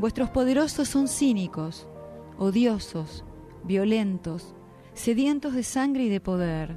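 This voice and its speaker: Music plays in the background as the voice moves at a very slow pace with lively intonation. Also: woman, medium pitch for a woman. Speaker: radio announcer. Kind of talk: religious message reading.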